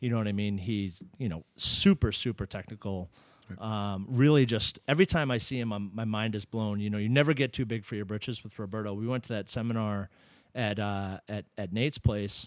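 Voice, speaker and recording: On a very clean recording with a silent background, a man with an American accent uses an ordinary speaking voice with ordinary pitch variation. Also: fairly low pitch for a man, fairly quick pace. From Massachusetts, US. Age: 30s. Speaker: jiu-jitsu competitor. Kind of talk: casual chat. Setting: studio.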